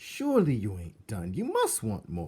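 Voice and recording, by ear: In a put-on character voice, the speaker talks at a fairly slow pace with very wide pitch swings. The tone is dark and mellow with a slightly husky edge. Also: man.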